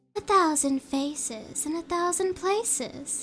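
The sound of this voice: Using a put-on character voice, a woman speaks fairly slowly in a high, nasal tone over light background noise.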